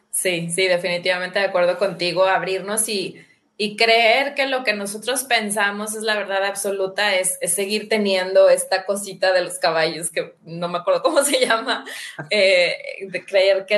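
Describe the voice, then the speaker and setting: A woman speaks at a moderate pace in a normal speaking voice. Her pitch sits in the middle range and varies in an ordinary way. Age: 40s. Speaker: habit-change coach and podcaster. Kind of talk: casual conversation on a livestream.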